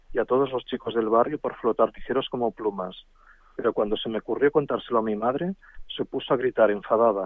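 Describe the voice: The plain reading aloud carries lively intonation.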